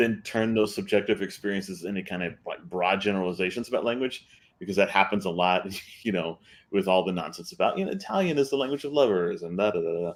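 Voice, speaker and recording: Someone with a South Texas accent talks at a very fast pace. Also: man, fairly low pitch for a man, ordinary pitch variation. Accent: South Texas Mexican-American English. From US South, rural deep South Texas. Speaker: author and translator, panelist. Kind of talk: panel discussion. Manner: halting, many fillers and repetitions.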